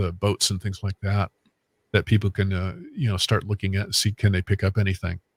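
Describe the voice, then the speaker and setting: A man speaks with fairly low pitch, somewhat breathy and in a monotone, flat intonation. The sound is dry and close with no echo, a very clean recording over a silent background. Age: 60s. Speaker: medium and paranormal investigator. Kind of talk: casual chat. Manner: halting, many fillers.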